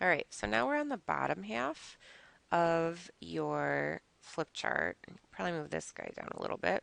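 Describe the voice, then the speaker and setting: The voice moves through very wide pitch swings at a fairly slow pace. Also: woman, very deep, low pitch for a woman, dry, close sound with no echo. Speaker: high school math teacher. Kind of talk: recorded lesson.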